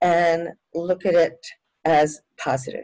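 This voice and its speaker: The woman speaks in a fairly low-pitched voice. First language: Spanish. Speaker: education professor. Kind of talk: interview.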